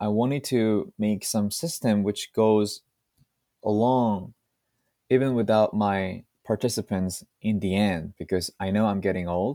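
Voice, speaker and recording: A man with a Korean accent at a fairly slow pace, dark, mellow tone, dry, close sound with no echo, and a very clean recording with a silent background. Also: fairly low pitch for a man. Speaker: language-teaching content creator and founder. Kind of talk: interview.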